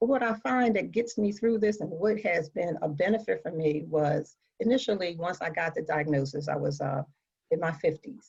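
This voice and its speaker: A woman with an American accent speaks at a moderate pace in a fairly low, somewhat breathy voice. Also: lively intonation. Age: 60s. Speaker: patient advocate living with metastatic breast cancer. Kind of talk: panel discussion. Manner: halting.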